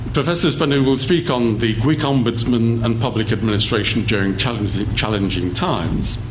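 Speech comes at a fairly quick pace with hardly any pauses, ordinary pitch variation and very even loudness, over noticeable background noise. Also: man, medium pitch for a man. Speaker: lecture host introducing speaker. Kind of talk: formal introduction and moderating Q&A. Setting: lecture hall with audience. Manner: formal, measured.

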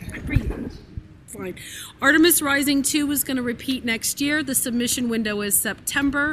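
A woman speaks in a plain, everyday voice at a moderate pace. Her pitch variation is ordinary. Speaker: podcast network staff member. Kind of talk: live Q&A session. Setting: stage with audience.

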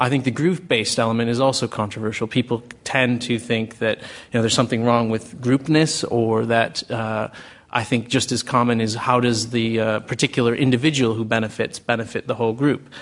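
A man with an American accent uses a plain, everyday voice at medium pitch. He talks at a fairly quick pace with fairly even intonation. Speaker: think tank director. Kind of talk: panel discussion. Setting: stage with audience.

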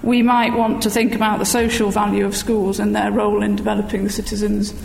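Over noticeable background noise, a woman with a British accent speaks at a fairly quick pace. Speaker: education professor, panel respondent. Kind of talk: academic response and discussion.

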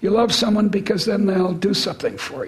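A woman at a fairly high pitch amid noticeable background noise. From US (Midwest / Boston). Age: 70s. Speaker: economics professor. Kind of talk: public interview with audience Q&A. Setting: stage with audience. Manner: halting, repeats words.

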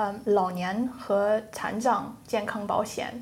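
Audible room echo surrounds a woman who speaks very slowly at a fairly high pitch with fairly even intonation. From England. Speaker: economics student. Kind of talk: classroom discussion. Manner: hesitant with fillers.

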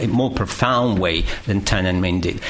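Amid noticeable background noise and audible room echo, a man with a Russian accent speaks at a moderate pace with ordinary pitch variation. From Russia, Moscow. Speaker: history professor. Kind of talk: panel talk.

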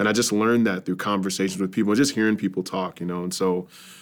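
An unremarkable speaking voice belongs to a man with an American accent. His pitch is fairly low, with ordinary variation. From New York suburbs. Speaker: pastor and church planter. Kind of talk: casual interview.

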